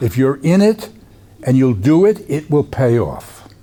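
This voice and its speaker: Noticeable background noise sits under the recording. A man speaks at a medium pitch. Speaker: therapeutic community researcher and workshop presenter. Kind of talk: workshop lecture. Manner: fast; halting, many restarts.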